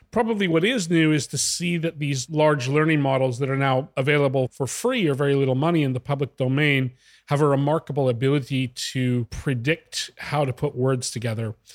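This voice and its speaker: With hardly any pauses, a man talks at a fairly quick pace and fairly high pitch with ordinary pitch variation, the sound dry and close with no echo. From Western Canada. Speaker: business consultant. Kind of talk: interview.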